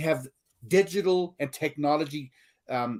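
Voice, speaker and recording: Speaking with a South African accent, a man keeps a moderate pace and lively intonation. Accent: South African accent, noticeable. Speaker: learning consultant and author. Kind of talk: podcast interview.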